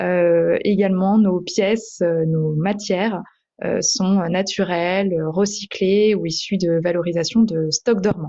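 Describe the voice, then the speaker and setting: Speaking very slowly, a woman keeps a medium pitch and a fairly even intonation. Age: 20s. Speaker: entrepreneur. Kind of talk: interview. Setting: podcast. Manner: hesitant, many fillers.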